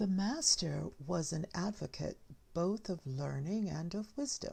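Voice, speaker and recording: Soft-spoken, a woman talks at a very slow pace. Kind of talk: soft-spoken ASMR reading of short tales. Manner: soft-spoken, slow.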